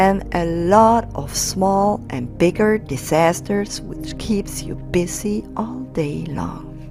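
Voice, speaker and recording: Over music in the background, a woman speaks at a very slow pace with hardly any pauses and big swings in loudness. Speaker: parent. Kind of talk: poetry slam reading.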